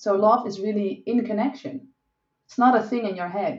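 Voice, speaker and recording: A woman with a Dutch accent speaks at a fairly high pitch. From Netherlands. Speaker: sex and relationship coach. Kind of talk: interview.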